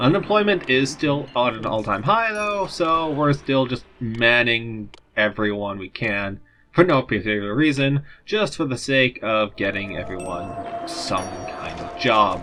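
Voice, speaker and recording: A man mumbles at a fairly slow pace, at a medium pitch but with very wide pitch swings. Music plays in the background. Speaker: let's play commentator. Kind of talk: casual gameplay commentary. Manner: mumbling.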